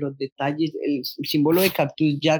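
A man's voice at a moderate pace, the sound dry and close with no echo. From Colombia, Bogotá. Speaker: sneaker enthusiast, content creator. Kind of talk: casual chat. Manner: animated.

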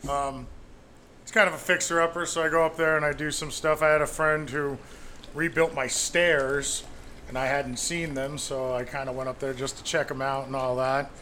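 At a moderate pace, a man with a plain, everyday voice speaks at a fairly high pitch with fairly even intonation. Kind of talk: casual banter.

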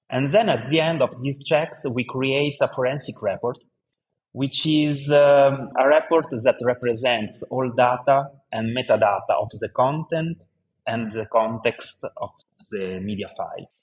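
A man with an Italian accent talks at a fairly slow pace in a fairly high, somewhat breathy voice. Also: ordinary pitch variation. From Italy. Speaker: tech startup founder. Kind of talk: interview. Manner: halting.

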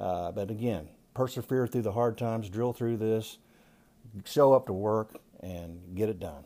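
On a very clean recording with a silent background, a man with an American accent talks at a fairly slow pace in a fairly low pitch, his tone dark and mellow, with ordinary pitch variation. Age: 60s. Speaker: retired insurance agency manager. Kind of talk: interview. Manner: halting with many fillers.

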